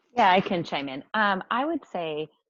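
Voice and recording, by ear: A woman speaks at a medium pitch with a fairly bright tone. Her pitch swings widely, and her pace is moderate.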